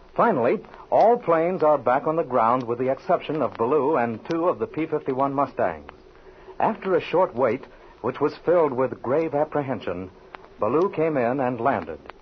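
Noticeable background noise sits under a man talking at a moderate tempo, his intonation lively. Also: fairly high pitch for a man. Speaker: announcer. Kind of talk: scripted narration.

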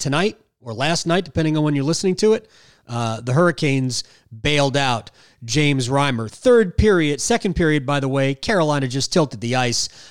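A man with an unremarkable speaking voice, fairly high in pitch, talks at a moderate pace with lively intonation on a very clean recording with a silent background. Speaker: podcast host. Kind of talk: post-game hockey podcast, casual analysis.

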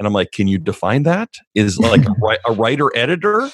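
In a plain, everyday voice, a man speaks at a fairly quick pace with ordinary pitch variation. The background is quiet. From Canada. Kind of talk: casual chat, interview.

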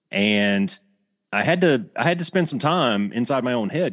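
A man with an Alabama accent makes very wide pitch swings over a quiet background. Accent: Southern US (Alabama). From US South, Alabama. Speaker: retired Air Force fighter pilot instructor. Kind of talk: casual interview.

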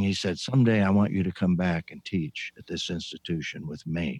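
A man with an American accent has a fairly low pitch and a dark, mellow tone with lively intonation. He talks at a fairly quick pace, and the sound is dry and close with no echo. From US Midwest (Indiana farm). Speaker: retired pastor and author. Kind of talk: interview. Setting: video call.

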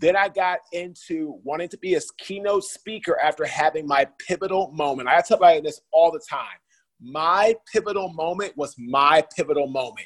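A man with an American accent and a high pitch shows big swings in loudness, recorded in a dry, close sound with no echo. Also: ordinary pitch variation, moderate pace. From Washington, D.C., USA. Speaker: former pro football player turned executive coach and speaker. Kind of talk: podcast interview.

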